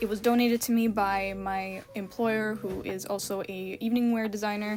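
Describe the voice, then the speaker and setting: A woman's medium-pitched voice, monotone and flat in intonation, moves at a moderate pace against noticeable background noise. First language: not English. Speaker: fashion and costume designer, sewing vlogger. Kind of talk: casual vlog talk to camera. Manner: chatty, casual.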